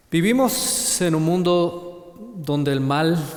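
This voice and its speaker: Very slowly and with ordinary pitch variation, a man speaks in a Chilean accent amid audible room echo and noticeable background noise. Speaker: preacher. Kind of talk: sermon. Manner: halting, with repetitions.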